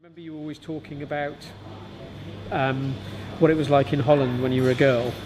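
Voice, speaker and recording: Against noticeable background noise, a man speaks very fast in a flat monotone at a fairly high pitch, with big swings in loudness and long, frequent pauses. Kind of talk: interviewer questions.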